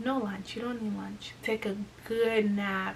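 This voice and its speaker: Noticeable background noise sits behind a woman's voice. Her pitch is fairly high and her intonation is monotone and flat. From Congo. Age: 20s. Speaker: lifestyle YouTuber. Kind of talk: casual talk to camera.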